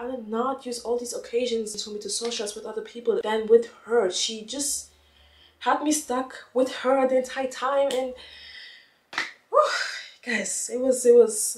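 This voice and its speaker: A high-pitched woman with a non-native accent amid noticeable background noise. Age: young. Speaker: lifestyle YouTuber. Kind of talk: casual talk to camera.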